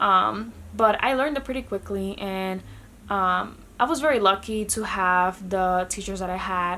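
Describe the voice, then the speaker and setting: In a Spanish accent, a woman speaks at a medium pitch. Her pace is moderate and her pitch variation ordinary. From Dominican Republic. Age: 20s. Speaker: vlogger. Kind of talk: casual vlog talk.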